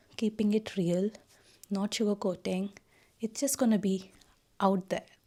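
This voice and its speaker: Soft-spoken and somewhat breathy, a woman talks in a dark, mellow tone with fairly even intonation. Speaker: lifestyle vlogger, new mother. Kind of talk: casual vlog talk to camera.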